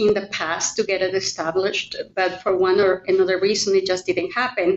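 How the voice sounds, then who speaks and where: A woman with a Spanish accent, medium in pitch, at a moderate pace with fairly even intonation. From Mexico. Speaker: realtor. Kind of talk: interview.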